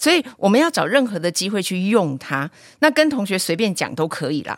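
A woman talks at a fairly quick pace with very wide pitch swings, recorded very cleanly with a silent background and a dry, close sound with no echo. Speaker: teacher and podcast host. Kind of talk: casual chat.

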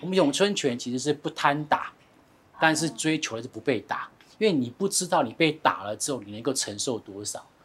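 An ordinary speaking voice at a fairly quick pace, with big swings in loudness and lively intonation. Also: man, fairly high pitch for a man. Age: 40s. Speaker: finance expert. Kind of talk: casual chat.

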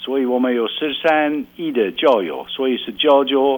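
This is a man with a medium pitch and a normal speaking voice. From rural Belgium. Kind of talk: radio interview.

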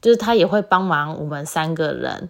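In a very clean recording with a silent background, a woman speaks fairly slowly at a fairly low pitch with ordinary pitch variation. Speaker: solo podcast host. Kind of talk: casual monologue. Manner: loud.

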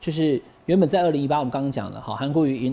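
The man's voice has a dark, mellow tone. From Taiwan. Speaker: talk show host, political commentator. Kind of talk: political interview, casual chat. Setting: studio.

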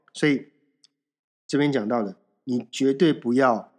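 Speaking very slowly, a man uses ordinary pitch variation on a very clean recording with a silent background. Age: 40s. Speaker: podcast host. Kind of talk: solo self-help monologue. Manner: casual, conversational with many fillers.

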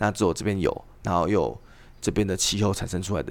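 Very fast and very deep, the man's low voice carries vocal fry. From Taiwan. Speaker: tea farmer. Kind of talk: casual chat.

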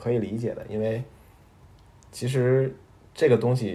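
A man speaks at a moderate pace in a medium pitch. His tone is dark and mellow, and somewhat breathy. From Beijing, China. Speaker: podcast co-host. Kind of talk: casual chat.

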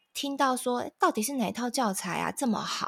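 At a moderate pace and with ordinary pitch variation, the speaker has a Taiwanese accent, heard in a dry, close sound with no echo. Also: woman. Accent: Taiwanese Mandarin. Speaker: parenting podcast host. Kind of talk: casual chat.

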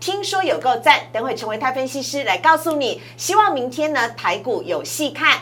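A woman with a Taiwanese accent speaks in an animated tone at a high pitch, with very wide pitch swings. Noticeable background noise runs underneath. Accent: Taiwanese Mandarin. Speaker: financial TV show host. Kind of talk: finance show hosting; scripted preview narration.

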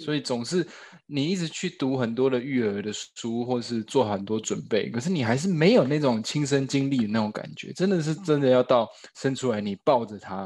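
Using a normal speaking voice, a man of medium pitch talks at a moderate pace with lively intonation. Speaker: actor, new father. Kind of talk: casual chat interview.

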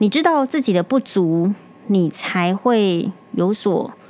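A woman's voice at a medium pitch. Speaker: doctor podcast host. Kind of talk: casual monologue. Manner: calmer than usual.

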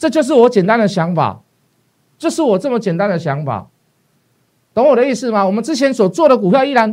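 This man's voice is high in pitch, moves at a fairly quick pace, and swings very widely in pitch. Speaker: stock market analyst. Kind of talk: investment talk show. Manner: hesitant with many fillers.

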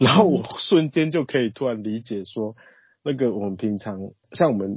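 A man talks at a fairly quick pace in a medium pitch, with lively intonation. It is a normal speaking voice. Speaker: nonprofit director, community worker. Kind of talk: interview, casual talk.

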